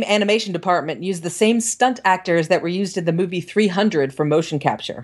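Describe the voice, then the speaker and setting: This woman has an unremarkable speaking voice pitched in the medium range. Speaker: podcast host. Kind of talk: casual chat.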